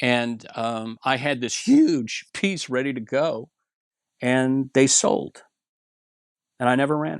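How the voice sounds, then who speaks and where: A man with an American accent speaks at medium pitch with ordinary pitch variation and long, frequent pauses, in a dry, close sound with no echo on a very clean recording with a silent background. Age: 60s. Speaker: clothing blogger. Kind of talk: casual chat. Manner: halting, many fillers and restarts.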